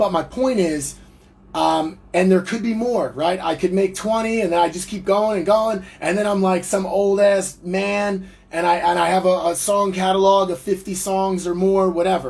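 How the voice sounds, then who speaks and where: With an American accent, a man speaks in a high pitch for a man, his intonation fairly even. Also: moderate pace. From New Jersey, US. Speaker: musician and entrepreneur. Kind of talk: livestream monologue. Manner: casual, rambling with fillers.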